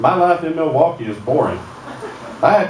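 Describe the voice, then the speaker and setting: A man speaks at a fairly quick pace, his pitch fairly high with ordinary variation. Noticeable background noise and audible room echo are present. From north Alabama, Sand Mountain. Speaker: comedian. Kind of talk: stand-up. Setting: stage with audience.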